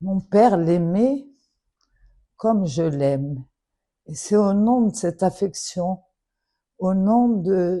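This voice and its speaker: A woman speaks at a very slow pace in a dark, mellow tone, fairly low in pitch with ordinary pitch variation. The background is quiet. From Morocco. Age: 70s. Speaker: daughter of a public figure making an appeal. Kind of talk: public plea. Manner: emotional, earnest.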